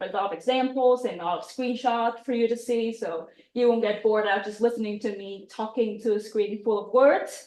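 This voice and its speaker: At a moderate pace, a woman speaks with fairly even intonation and a fairly high pitch. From Vietnam. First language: Vietnamese. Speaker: UX designer, speaker. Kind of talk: presentation talk. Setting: meetup room with audience, also online.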